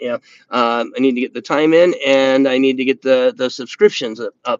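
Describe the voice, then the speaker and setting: A man with an Indiana accent at a medium pitch, fairly even intonation and a fairly quick pace. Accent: Hoosier accent, slips out. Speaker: knife review YouTuber. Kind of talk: live stream chat. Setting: live stream from indoors by window. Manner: halting, many fillers and repeats.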